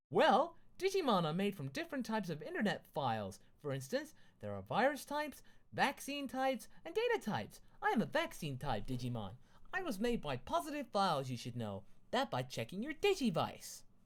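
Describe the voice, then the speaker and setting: This put-on character voice has a fairly high pitch and moves at a fairly quick pace. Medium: read story. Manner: excited, chatty.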